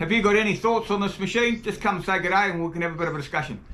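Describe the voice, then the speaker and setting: Over noticeable background noise and audible room echo, a man with a New Zealand accent speaks in a raised, projected voice at a high pitch and a very fast pace. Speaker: tool reviewer, video creator. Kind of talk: product review demo.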